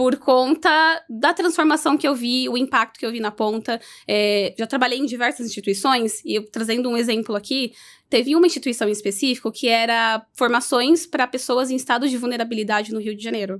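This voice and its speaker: In a very clean recording with a silent background, a woman with a high pitch talks at a fairly quick pace with ordinary pitch variation. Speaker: tech education project lead. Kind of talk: podcast interview. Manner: didactic, teacher-like.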